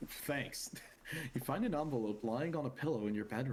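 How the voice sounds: The clip presents a natural reading voice.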